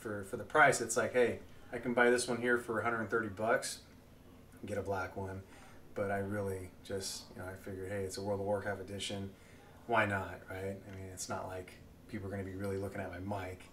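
The speech moves at a fairly quick pace in a monotone, flat intonation. Light background noise sits behind it. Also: man, fairly low pitch for a man. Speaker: gamer vlogger. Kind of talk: casual vlog chat. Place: home room.

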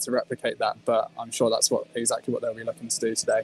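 A man talks at a very fast pace, his voice dry with no echo at all. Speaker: remote guest. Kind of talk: interview answer. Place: stadium. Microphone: video call.

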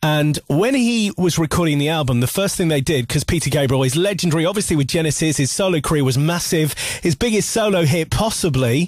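Against a quiet background and with dry sound that has no echo, a man speaks in a somewhat breathy, fairly high voice with lively intonation. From West Yorkshire, UK. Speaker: radio presenter. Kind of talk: radio show presenting. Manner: chatty, upbeat. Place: studio. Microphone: studio mic.

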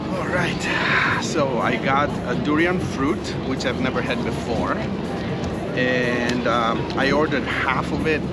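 A man's voice with ordinary pitch variation over music in the background. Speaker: travel food vlogger. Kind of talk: casual vlog chat. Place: street. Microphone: lapel.

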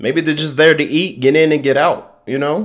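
This man talks at a fairly quick pace. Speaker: reaction youtuber. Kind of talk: heated rant, reaction commentary. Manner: loud, blunt, fired-up, profane.

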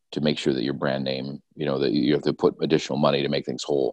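In a dry recording with no echo and a quiet background, a man speaks with a very deep, low pitch and vocal fry. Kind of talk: casual discussion. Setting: video call. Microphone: video call.

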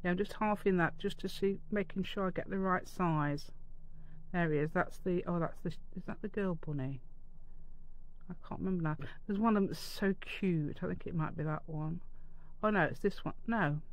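At a moderate pace, a woman speaks in a fairly low pitch with ordinary pitch variation.

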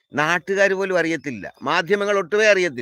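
A man's raised, projected voice, high-pitched with ordinary pitch variation, bright and sharp in tone, animated, with a dry, close sound and no echo. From Kerala, south of Ernakulam. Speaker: farming channel host. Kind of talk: live-stream monologue.

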